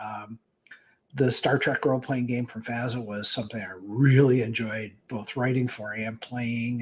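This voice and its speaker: A somewhat breathy man speaks in an American accent. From Michigan. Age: 60s. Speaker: author and game writer. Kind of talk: interview.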